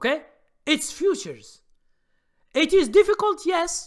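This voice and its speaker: A man with a non-native accent. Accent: foreign. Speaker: stock trading educator. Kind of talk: live stream Q&A. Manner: halting, many fillers.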